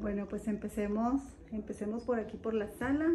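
A dark, mellow voice with a slightly husky edge at a slow pace. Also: woman.

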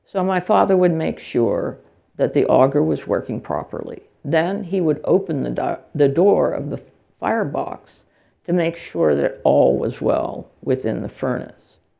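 A woman with an American accent at a fairly slow pace against a quiet background. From US, central Pennsylvania. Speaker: English and gender studies professor, keynote speaker. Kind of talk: lecture read from a prepared text. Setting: lecture hall with audience. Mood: calm, reflective. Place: hall.

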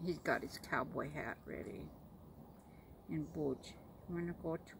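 In an American accent, a woman talks very slowly at a fairly low pitch, with vocal fry and ordinary pitch variation. Light background noise can be heard. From Florida, USA. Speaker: pet owner. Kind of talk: casual talk to camera. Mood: affectionate, relaxed. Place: home room. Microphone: phone near.

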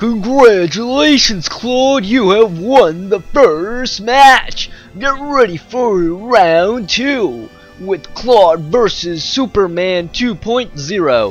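Faint music plays in the background as a man puts on a character voice, high-pitched for a man and very slow. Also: lively intonation. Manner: booming announcer voice.

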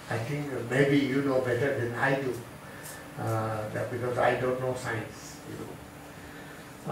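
There is noticeable background noise and audible room echo. The speaker is a man. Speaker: religious teacher. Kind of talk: sermon. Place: hall.

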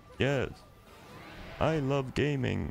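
A man uses a put-on character voice at a medium pitch. Clear background noise runs under him.

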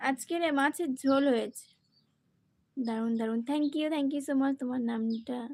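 Her voice is high for a woman, with fairly even intonation. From West Bengal, Joynagar, South 24 Parganas. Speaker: live streamer. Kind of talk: casual live-stream chat answering comments.

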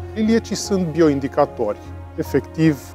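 A man at a fairly slow pace over clear background music. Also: dry sound with no echo. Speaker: bat biologist. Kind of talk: interview answer. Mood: calm, friendly, informative. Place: tunnel cave. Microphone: lapel.

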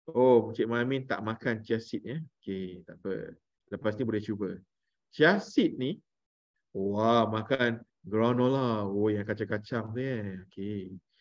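Recorded dry with no echo and a quiet background, a man speaks at a fairly slow pace. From Malaysia, Melaka; Malaysia. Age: 40s. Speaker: parenting trainer and former radio DJ; parenting course trainer. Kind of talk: online workshop talk; online lecture. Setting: video call. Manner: animated. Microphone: video call.

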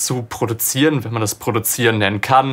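The man speaks with ordinary pitch variation. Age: 20s. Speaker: audio drama producer and sound designer; radio drama producer. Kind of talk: interview monologue about a production. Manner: casual with frequent filler sounds. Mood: relaxed, engaged. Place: studio.

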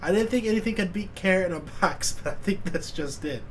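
There is light background noise. A man speaks over it. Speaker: YouTube reaction creator. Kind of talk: casual reaction commentary. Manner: excitable, swearing, laughing a lot. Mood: amused, laughing. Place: home room.

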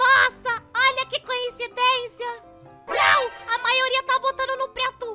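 A cartoonish character voice at a fairly slow pace, with faint music in the background. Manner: playful, boastful.

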